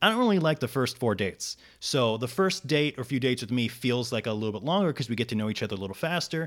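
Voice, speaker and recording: A man speaks at a medium pitch in a plain, everyday voice. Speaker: comedian. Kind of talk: casual chat. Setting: in person, studio.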